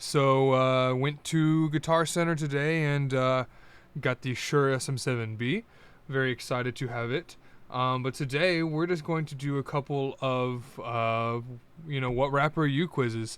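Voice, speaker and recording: A man with an American accent talks at a moderate pace with fairly even intonation, in a dry sound with no echo. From US East Coast. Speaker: YouTuber. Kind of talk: casual chat. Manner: hesitant, many fillers. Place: home room. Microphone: new studio dynamic mic; studio mic.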